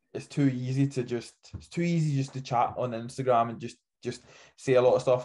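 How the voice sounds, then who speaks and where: With a quiet background, a man speaks in a somewhat breathy, medium-pitched voice and fairly even intonation. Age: young. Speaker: natural bodybuilder. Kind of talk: casual podcast interview. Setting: podcast.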